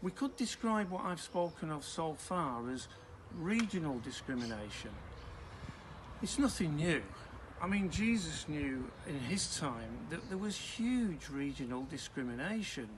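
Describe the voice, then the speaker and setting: A man speaks at a fairly slow pace with a fairly high pitch and very wide pitch swings. Audible room echo surrounds his voice. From northern England. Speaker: preacher. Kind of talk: sermon.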